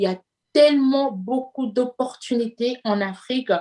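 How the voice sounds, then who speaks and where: The woman talks with ordinary pitch variation. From Congo. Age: 30s. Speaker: entrepreneur. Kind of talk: interview. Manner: hesitant, many fillers.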